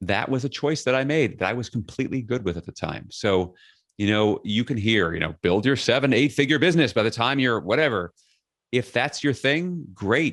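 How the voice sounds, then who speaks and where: A man with an American accent and a plain, everyday voice, lively intonation at a moderate pace, over a quiet background. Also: medium pitch for a man. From New York City (Queens). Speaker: leadership speaker and author. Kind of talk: podcast interview.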